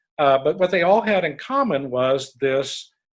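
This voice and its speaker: A man with an American accent talks at a fairly high pitch. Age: 60s. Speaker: leadership recruiter. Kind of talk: podcast interview.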